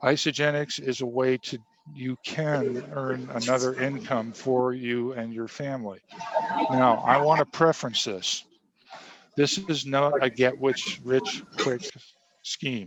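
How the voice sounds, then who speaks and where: At medium pitch, a man with a plain, everyday voice speaks with fairly even intonation. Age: 60s. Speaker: navy veteran and nutrition product seller. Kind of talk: interview.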